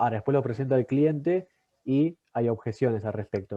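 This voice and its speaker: A man with a medium pitch talks fairly quickly. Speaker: workshop moderator. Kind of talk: workshop discussion. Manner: talkative.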